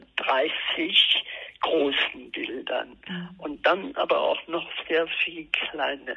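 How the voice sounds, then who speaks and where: A woman talks at a very slow pace. Noticeable background noise runs under her voice. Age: 80s+. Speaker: artist. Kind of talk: interview. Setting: phone call. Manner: halting. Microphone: telephone line, lower sound quality.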